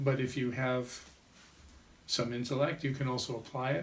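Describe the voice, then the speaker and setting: Fairly even intonation marks this speech, delivered at a moderate pace. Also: man. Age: 60s. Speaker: vedic astrologer and life coach. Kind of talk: interview.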